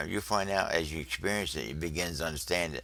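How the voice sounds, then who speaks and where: Very fast speech with a bright, sharp tone comes through a very clean recording over a silent background. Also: man. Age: 70s. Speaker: religious video teacher. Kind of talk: religious teaching monologue.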